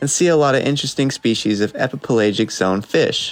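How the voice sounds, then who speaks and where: Music plays in the background. A man at a medium pitch talks at a moderate pace. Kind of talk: mock travel infomercial read.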